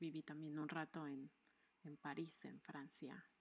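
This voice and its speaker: A woman speaks with a very deep, low pitch. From Mexico. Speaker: podcast co-host. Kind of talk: casual chat.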